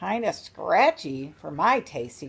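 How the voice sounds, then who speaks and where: A croaky, female-sounding put-on character voice with a cheerful tone sits at a middle pitch. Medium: read story. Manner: cheerful, croaking.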